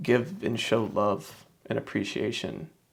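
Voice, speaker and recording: There is vocal fry in this man's voice, and he has an American accent. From US South, Shreveport, Louisiana. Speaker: author and self-help vlogger. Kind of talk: personal reflection monologue. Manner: halting, with frequent fillers and repetitions.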